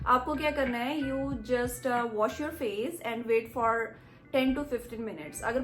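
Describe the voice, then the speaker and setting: A woman's high-pitched voice with a slight Punjabi accent, audible room echo and music in the background. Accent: slight Punjabi touch in her Hindi. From India, Punjab. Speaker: beauty vlogger. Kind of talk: tutorial. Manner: casual, mixes Hindi and English.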